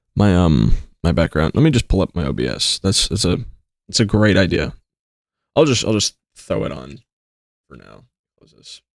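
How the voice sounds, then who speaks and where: Speaking at a moderate pace with long, frequent pauses, a man with a very deep, low pitch and vocal fry makes very wide pitch swings and big swings in loudness in a dry, close sound with no echo. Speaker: streamer. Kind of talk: casual live stream chat.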